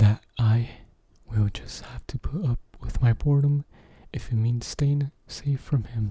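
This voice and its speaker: A man's somewhat breathy, dark and mellow voice at medium pitch, fairly slow in pace. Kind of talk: ASMR scary story narration.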